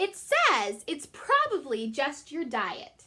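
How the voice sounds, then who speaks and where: A squeaky, put-on character voice moves at a very slow pace with very wide pitch swings. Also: woman, high pitch for a woman. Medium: read story. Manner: nervous, stammering.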